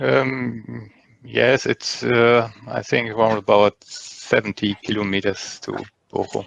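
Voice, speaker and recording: A man speaks with a German accent at a very slow pace. The sound is dry and close, with no echo. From Germany, North Rhine-Westphalia. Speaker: English learner. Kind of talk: language class conversation. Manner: halting, many fillers.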